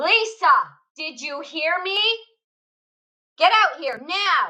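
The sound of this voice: A woman puts on a character voice, high-pitched with a bright, sharp tone, speaking slowly with lively intonation.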